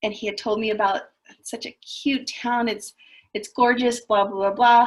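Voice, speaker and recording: Her voice somewhat breathy, a woman speaks at a fairly high pitch with fairly even intonation. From southern California. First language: Spanish. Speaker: school counselor. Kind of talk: panel talk. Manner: casual, many fillers.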